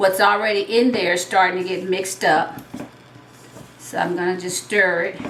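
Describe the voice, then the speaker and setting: Someone with a Southern US accent speaks in a relaxed tone, with audible room echo and noticeable background noise. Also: woman. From US South. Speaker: retired teacher and home cook. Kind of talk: cooking tutorial. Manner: relaxed, conversational.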